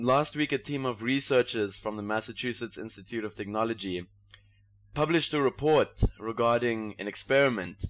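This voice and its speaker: A man with a South African accent at a moderate pace and medium pitch, with ordinary pitch variation in a very clean recording with a silent background. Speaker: podcast host. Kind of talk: casual comedic banter.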